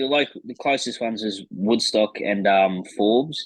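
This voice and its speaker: Speaking with an Australian accent, a man keeps a moderate pace and lively intonation. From New South Wales, Australia (Penrith, Blayney). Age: 20s. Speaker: flat track racer and mechanic. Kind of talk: casual interview. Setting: video call on phone. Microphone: phone.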